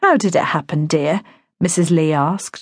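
A woman speaks at a moderate pace in a somewhat breathy voice. The background is quiet. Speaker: audiobook narrator. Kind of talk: dramatic audiobook narration, with character voices. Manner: gentle, consoling tone for the neighbour's lines.

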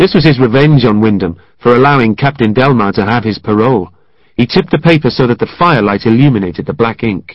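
Pitch moves in an ordinary way as the text is read aloud in a natural voice.

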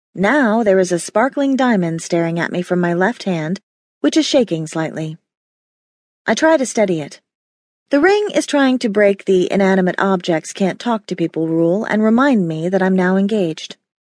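A woman with a plain, everyday voice, medium pitch, lively intonation and moderate pace, in a dry, close sound with no echo. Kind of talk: audiobook narration, first-person romance. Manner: intimate, conversational, expressive.

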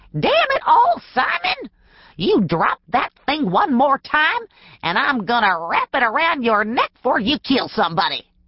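This is a put-on character voice with a fairly high pitch. The pace is moderate. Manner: scolding, irritated.

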